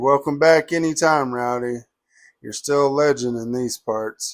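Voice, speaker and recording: In a very clean recording with a silent background, a man puts on a gruff character voice at a medium pitch and a moderate pace. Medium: read story.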